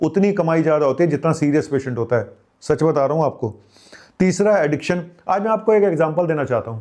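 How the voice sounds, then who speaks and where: Dark, mellow tone from a man, moderate pace, ordinary pitch variation. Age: 50s. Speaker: doctor, health channel host. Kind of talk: health advice monologue. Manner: casual, colloquial; animated, scolding.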